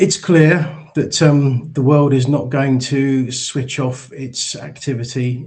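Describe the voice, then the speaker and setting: A man talks in a somewhat breathy voice, and his pitch varies in an ordinary way. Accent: English. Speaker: charity chief executive. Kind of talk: conference presentation. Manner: halting, many fillers.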